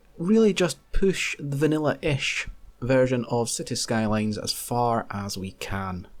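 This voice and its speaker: A man talks at a very slow pace. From UK. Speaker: video game streamer. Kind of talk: gameplay commentary. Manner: casual, conversational.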